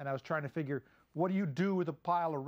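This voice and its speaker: A man speaks with ordinary pitch variation over a quiet background. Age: 50s. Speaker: comedic monologue host. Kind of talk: casual comedic monologue. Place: studio.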